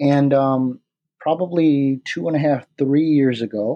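A man's medium-pitched voice with a Midwestern American accent, a dark, mellow tone and fairly even intonation, in a dry, close sound with no echo and a quiet background. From Michigan, near Detroit. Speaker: product creator. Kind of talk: interview. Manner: halting, many fillers.

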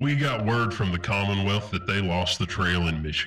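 Using a raspy, put-on character voice, a man speaks at a fairly low pitch and a moderate pace. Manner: brisk, authoritative, military.

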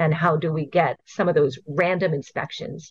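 A woman speaks in a somewhat breathy, fairly low voice with ordinary pitch variation. The recording is dry and close, without echo. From Hawaii. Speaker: invasive species program coordinator. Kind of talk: interview.

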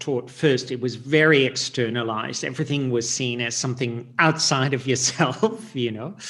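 Noticeable noise sits behind a man speaking at a medium pitch. He keeps a moderate pace with hardly any pauses. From Netherlands. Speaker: Reiki teacher and author. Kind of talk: casual interview conversation.

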